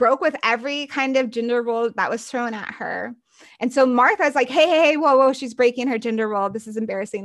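A woman with an American accent speaks in an ordinary speaking voice, fairly high in pitch, with ordinary pitch variation at a fairly quick pace. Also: dry, close sound with no echo. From United States. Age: 30s. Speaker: author and podcast host, former missionary. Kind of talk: interview.

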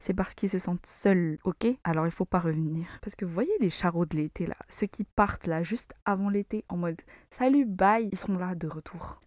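A woman at medium pitch, an ordinary speaking voice, moderate pace with hardly any pauses and ordinary pitch variation, in a very clean recording with a silent background and a dry, close sound with no echo. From Madagascar. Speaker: podcast host. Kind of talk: solo podcast monologue. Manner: casual.

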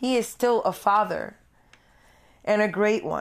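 A woman talks with an American accent and vocal fry. Her pace is very slow. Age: 40s. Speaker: podcast host. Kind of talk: personal monologue.

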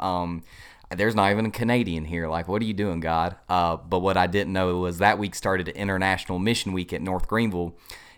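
In a very clean recording with a silent background, a man with a Southern US accent talks at a fairly quick pace with fairly even intonation. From US South, upstate South Carolina. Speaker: pastoral resident. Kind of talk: casual interview, personal testimony.

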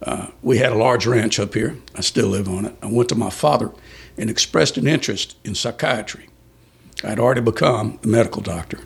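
This man talks at medium pitch with a Texan accent. His pace is fairly quick, with ordinary pitch variation. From Texas, San Antonio. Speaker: criminal defense attorney. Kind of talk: interview, storytelling.

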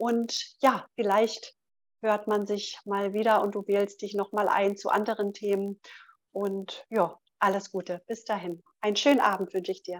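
A woman speaks at a medium pitch and a fairly slow pace, her intonation monotone and flat. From Berlin. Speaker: podcast host, retired nurse. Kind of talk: live call-in podcast hosting.

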